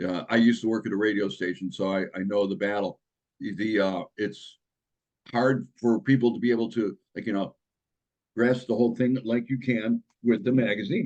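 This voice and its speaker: Here a man speaks at a medium pitch. His pace is moderate and his intonation fairly even. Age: 60s. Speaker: magazine distribution auditor. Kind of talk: interview. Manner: halting, many fillers.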